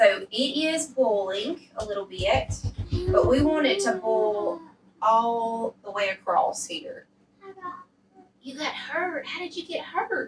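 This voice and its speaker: Over noticeable background noise, a speaker in a Southern accent talks at a very slow pace, with long, frequent pauses and big swings in loudness. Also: woman. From US South. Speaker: cooking show host. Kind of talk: cooking tutorial. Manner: animated.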